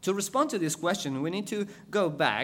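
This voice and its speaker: This is a man speaking. He talks with an Ecuadorian accent. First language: Spanish. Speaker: missionary preacher. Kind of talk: sermon. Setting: church.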